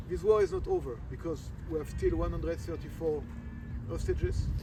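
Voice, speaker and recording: A man talks fairly quickly, with audible room echo around his voice. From France. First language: French. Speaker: military officer. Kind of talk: briefing to visitors. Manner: halting.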